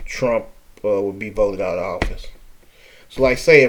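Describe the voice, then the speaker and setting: A man talks with a New Orleans accent. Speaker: political commentator. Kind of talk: casual talk to camera.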